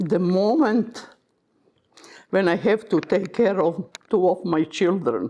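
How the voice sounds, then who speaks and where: The pace is very slow, with long, frequent pauses. Pitch varies in an ordinary way and loudness stays very even. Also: woman, medium pitch for a woman. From former Yugoslavia (now Croatia). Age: 80s+. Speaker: Holocaust survivor. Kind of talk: interview testimony.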